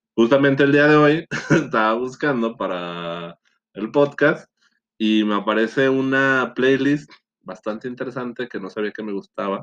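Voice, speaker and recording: Against a quiet background, a man speaks fairly slowly at a medium pitch, with ordinary pitch variation and big swings in loudness. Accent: Mexican. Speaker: podcast co-host. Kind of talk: casual chat.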